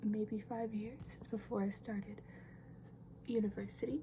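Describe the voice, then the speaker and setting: A soft-spoken woman at medium pitch, calm and relaxed in tone. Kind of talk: casual talk to camera while drawing. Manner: calm, relaxed.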